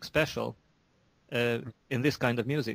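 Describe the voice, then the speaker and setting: The speaker has a Hungarian accent and keeps a moderate pace. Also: man. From Hungary. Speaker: metal musician. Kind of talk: interview. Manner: halting, many repetitions.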